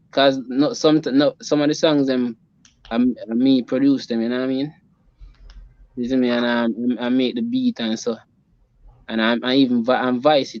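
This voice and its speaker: Speaking in a Jamaican accent, a man of medium pitch keeps a moderate pace and fairly even intonation. Long, frequent pauses run through his speech. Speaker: reggae musician. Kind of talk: interview answer. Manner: casual, halting.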